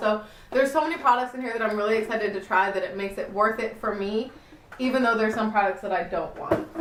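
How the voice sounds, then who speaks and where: A woman talks very fast in a fairly high, animated voice. There's audible room echo and noticeable background noise. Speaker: beauty youtuber. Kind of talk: casual haul video.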